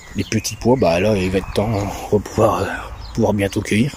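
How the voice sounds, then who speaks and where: A man at a fairly low pitch and moderate pace amid noticeable background noise. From Belgium. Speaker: home vegetable gardener. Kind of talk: casual garden tour to camera. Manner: relaxed, hesitant, chatty.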